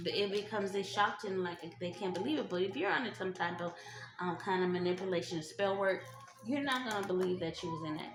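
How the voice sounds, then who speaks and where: Amid noticeable background noise and audible room echo, a woman speaks very fast at a medium pitch with ordinary pitch variation. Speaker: tarot reader. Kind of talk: tarot reading. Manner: halting, many fillers; casual, conversational.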